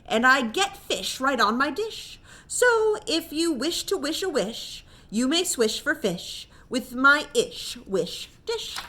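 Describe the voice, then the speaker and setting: Using a put-on character voice, a woman speaks at a fairly slow pace with a high pitch and very wide pitch swings. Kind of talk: bedtime story. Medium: read story. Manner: sing-song, rhyming.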